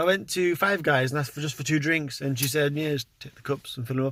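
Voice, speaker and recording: A man with a Welsh accent and a fairly high pitch. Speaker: vlogger. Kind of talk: casual vlog talk. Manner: quiet.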